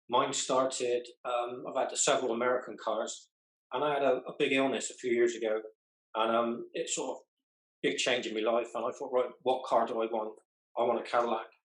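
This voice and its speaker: A man with a West Country accent talks at a fairly quick pace and medium pitch. His intonation is monotone and flat. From southwest England. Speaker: car club member. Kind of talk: group interview.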